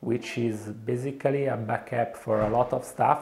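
Over light background noise, a man speaks with an Italian accent. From Italy. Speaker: software developer. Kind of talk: interview answer. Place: studio. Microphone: lapel.

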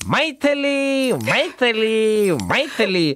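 A man's put-on character voice, high-pitched and fairly bright, with big pitch swings and a very slow pace

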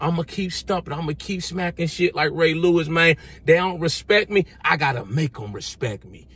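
Speaking at a fairly quick pace, a man with a high pitch sounds animated, with ordinary pitch variation, big swings in loudness and a dry sound with no echo. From US, grew up in the projects. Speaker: fitness and motivational YouTuber; motivational YouTuber. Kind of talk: motivational vlog monologue. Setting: outdoors, sitting in his driveway. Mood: motivational, defiant. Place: car. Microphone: phone near.

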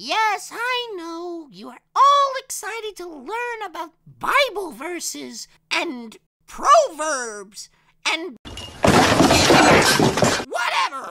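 In a cartoonish character voice with a bright, sharp tone, the speaker moves at a very slow pace, swings the pitch widely, and leaves long, frequent pauses.

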